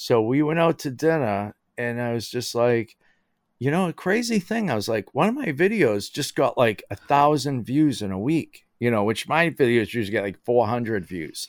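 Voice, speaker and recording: Speaking at a moderate pace with lively intonation, a man at a medium pitch has an ordinary speaking voice. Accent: American. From Boston area, Massachusetts (Somerville). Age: 50s. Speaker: maker and content creator. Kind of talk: casual chat. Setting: remote call, lying in bed.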